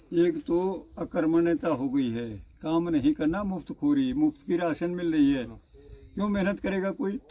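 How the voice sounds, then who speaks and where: Very wide pitch swings run through a man's high-pitched voice. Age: 80s+. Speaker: village elder. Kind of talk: interview conversation.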